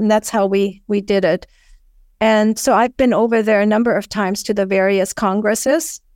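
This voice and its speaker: A woman speaks with a German accent at a fairly high pitch and fairly even intonation. The sound is dry and close, with no echo. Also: very clean recording, silent background. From Germany. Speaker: naturist advocate. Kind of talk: interview.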